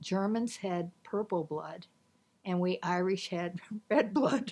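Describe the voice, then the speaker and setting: At a very slow pace, the speaker uses ordinary pitch variation in a US Midwestern accent. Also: woman. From Nebraska, Omaha. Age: 70s. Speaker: retiree recounting life story. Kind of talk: interview reminiscence.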